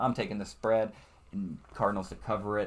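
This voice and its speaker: A man at a fairly quick pace. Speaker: sports betting YouTuber. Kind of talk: solo sports predictions commentary. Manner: fast; casual.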